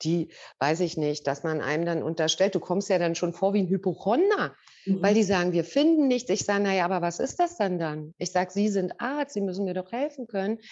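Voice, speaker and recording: Her intonation is lively, at a medium pitch for a woman. The background is quiet. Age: 50s. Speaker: customer sharing testimonial. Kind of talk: testimony. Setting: video call.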